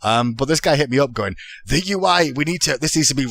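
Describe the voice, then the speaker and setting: A man speaks fairly quickly while noticeable background noise runs underneath. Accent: English. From England, Manchester. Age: 30s. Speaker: esports commentator. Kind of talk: casual podcast chat. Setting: podcast recording.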